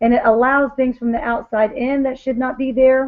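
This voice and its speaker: A woman at a moderate pace. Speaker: wellness product seller. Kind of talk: sales presentation on video call. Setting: video call. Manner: animated.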